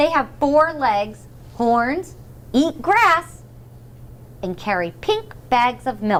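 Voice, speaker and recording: Using a put-on character voice pitched high, a woman speaks very slowly with long, frequent pauses as clear background noise runs underneath. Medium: read story. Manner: confident, storytelling.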